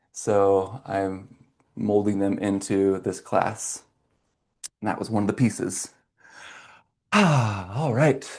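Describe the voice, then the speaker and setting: A man speaks very slowly with ordinary pitch variation. Long, frequent pauses break up his words against a quiet background. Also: fairly low pitch for a man. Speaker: movement and fascia class instructor. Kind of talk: online fitness class instruction. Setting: video call class.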